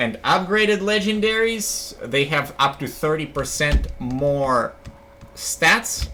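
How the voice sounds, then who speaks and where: Speaking at a very slow pace, a man swings his pitch very widely. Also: fairly high pitch for a man. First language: not English. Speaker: video game streamer. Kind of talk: casual live stream commentary. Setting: live stream with chat. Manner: casual, animated.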